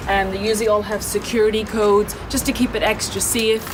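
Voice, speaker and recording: A woman with a Northern Irish accent talks at a fairly quick pace in a fairly high voice, with music in the background and audible room echo. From Northern Ireland. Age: 20s. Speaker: English teacher. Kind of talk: apartment tour vlog. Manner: casual.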